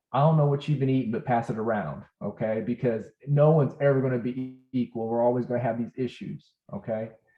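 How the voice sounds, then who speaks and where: A man with a normal speaking voice talks at a fairly quick pace, his pitch medium and its variation ordinary. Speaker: healthcare educator. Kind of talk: lecture.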